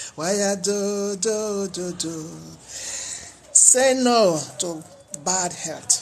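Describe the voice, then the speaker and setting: Against noticeable background noise, a high-pitched man with a Nigerian accent speaks at a very slow pace with long, frequent pauses. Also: ordinary pitch variation. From Nigeria, Edo (Benin). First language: Edo. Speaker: health talk vlogger. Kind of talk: monologue talk.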